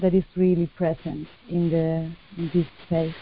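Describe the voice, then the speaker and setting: A woman with a Spanish accent talks at a fairly slow pace in a fairly low voice. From southern Spain (Cádiz). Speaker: artist. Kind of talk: interview. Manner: hesitant, many fillers.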